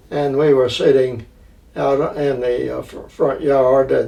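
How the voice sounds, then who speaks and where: There is noticeable background noise. A man speaks at a fairly slow pace. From Middle Tennessee (Franklin, Williamson County). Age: 80s+. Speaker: retired chamber of commerce director. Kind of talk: interview. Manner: halting, many fillers and repetitions.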